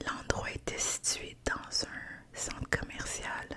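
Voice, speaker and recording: A woman whispers at a very slow pace in a relaxed tone. Noticeable background noise can be heard. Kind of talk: ASMR whispered ramble to camera. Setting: studio with fluffy windscreen mic. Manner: soft, whispered, relaxed.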